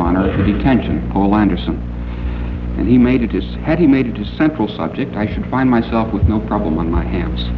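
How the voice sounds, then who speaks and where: Loud background noise fills the clip as a man speaks fairly quickly. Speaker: science fiction author and critic, convention guest of honor. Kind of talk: formal convention speech, literary criticism lecture. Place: hall. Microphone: old recording.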